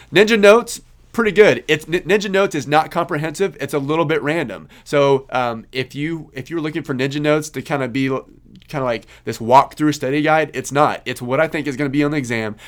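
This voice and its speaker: A man with a Kansas accent, fairly high in pitch, talking fairly quickly with ordinary pitch variation. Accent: Kansas twang. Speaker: podcast host, CPA exam tutor. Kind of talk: Q&A answers to a student group, casual monologue. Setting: recorded video. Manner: halting, many fillers.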